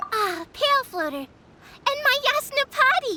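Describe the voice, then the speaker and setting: This is a put-on character voice pitched extremely high. It sounds squeaky. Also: fairly slow pace. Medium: video game. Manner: grandiloquent, haughty, theatrical.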